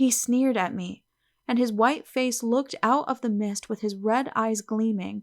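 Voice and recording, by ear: The background stays quiet while the speaker is reading aloud in a natural voice.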